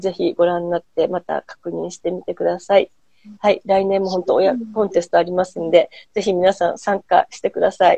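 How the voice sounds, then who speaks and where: Against a quiet background, a woman talks at a fairly quick pace with big swings in loudness, the sound dry with no echo. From Japan. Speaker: host, handicraft business owner; host. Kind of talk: casual chat. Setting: Instagram live stream. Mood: warm, smiling. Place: home room. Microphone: earbuds.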